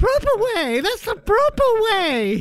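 A squeaky, put-on character voice at an extremely high pitch speaks at a fairly slow pace. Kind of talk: affected, upper-class. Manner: posh, silly, slightly raised.

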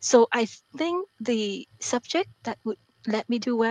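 A woman with a non-native accent and a fairly high pitch, in a dry, close sound with no echo. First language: not English. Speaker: author and mathematics professor. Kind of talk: interview.

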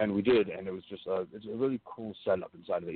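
A man speaks at a fairly low pitch. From Iceland and Europe, widely traveled. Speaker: independent pro wrestler. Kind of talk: interview.

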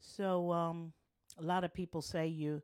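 A woman's warm tone comes through in a very clean recording with a silent background. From northern US. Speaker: podcast host and family caregiver. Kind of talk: casual podcast monologue. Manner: warm, chatty.

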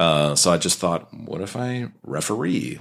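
A man's very deep, low voice with vocal fry and very wide pitch swings. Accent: American. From US Midwest. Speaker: wrestling referee and voice-over artist. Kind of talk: casual chat. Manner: animated.

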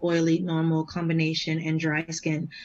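An American accent at a moderate pace. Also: woman. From Boston, Massachusetts. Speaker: battle rapper. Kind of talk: casual chat.

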